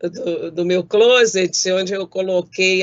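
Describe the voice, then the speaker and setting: A woman's unremarkable speaking voice, medium in pitch, with fairly even intonation. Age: 60s. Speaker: judge. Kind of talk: prepared talk. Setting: video call from home. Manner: formal.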